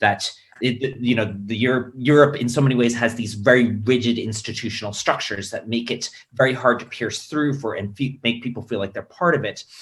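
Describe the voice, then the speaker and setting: Somewhat breathy, a man with an American accent talks fairly quickly at medium pitch with fairly even intonation. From United States. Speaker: panelist at a political webinar. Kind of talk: panel discussion. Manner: hesitant, many fillers and restarts.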